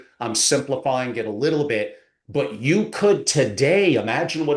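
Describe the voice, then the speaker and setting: An animated man with a fairly high pitch and lively intonation against a quiet background. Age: 60s. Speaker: family office advisor. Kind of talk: podcast interview.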